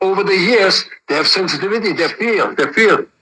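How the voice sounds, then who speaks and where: In a raised, projected voice, a man with a high pitch speaks at a moderate pace. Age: 60s. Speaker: martial arts teacher. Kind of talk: interview. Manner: animated.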